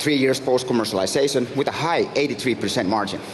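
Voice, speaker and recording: A man at medium pitch with fairly even intonation, against noticeable background noise. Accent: Finnish. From Finland. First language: Finnish. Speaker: startup founder and CEO. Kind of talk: pitch presentation.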